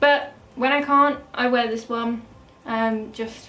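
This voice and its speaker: A woman speaks with an English accent at a fairly high pitch, her intonation fairly even. Audible room echo and noticeable background noise surround her. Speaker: beauty vlogger. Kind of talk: casual product review. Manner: fast.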